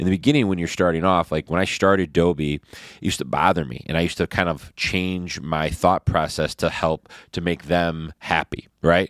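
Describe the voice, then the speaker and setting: Spoken with a Michigan accent at a fairly quick clip, the voice keeps a fairly even intonation over a very clean recording with a silent background. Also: man, very deep, low pitch for a man, dry, close sound with no echo. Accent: Michigan American. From Detroit east side, Michigan. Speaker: podcast host, real estate businessman. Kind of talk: casual chat. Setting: hotel room.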